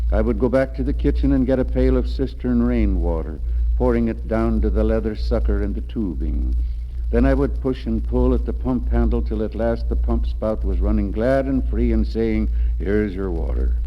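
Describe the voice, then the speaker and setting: Music plays in the background as a man speaks in a very deep, low voice with monotone, flat intonation. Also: moderate pace. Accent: American. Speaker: poet. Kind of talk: autobiography reading.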